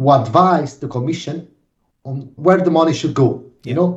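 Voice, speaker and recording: In an Italian accent, a man speaks with a dark, mellow, somewhat breathy tone and ordinary pitch variation. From Naples, Italy. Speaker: organic farming association director. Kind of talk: interview.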